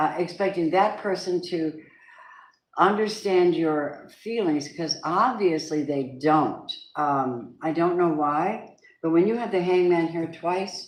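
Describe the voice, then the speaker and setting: A woman's fairly low voice at a very slow pace, with ordinary pitch variation and audible room echo. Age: 70s. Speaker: tarot reader. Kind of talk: live tarot reading.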